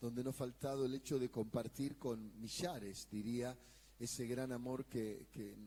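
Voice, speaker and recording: Speaking at a fairly slow pace, a man has a medium pitch, a dark, mellow tone, and fairly even intonation. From Argentina, Buenos Aires area. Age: 60s. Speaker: pastor and evangelist. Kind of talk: sermon.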